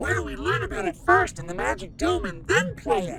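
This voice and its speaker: A put-on character voice at a fairly quick pace over clear background noise. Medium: comedy sketch. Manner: naive, chirpy.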